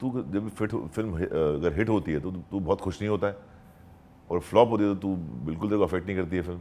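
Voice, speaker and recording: This man's voice sits at a very deep, low pitch. Its tone is dark and mellow. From Marathi household, India. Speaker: actor and dubbing artist. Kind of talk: interview answer.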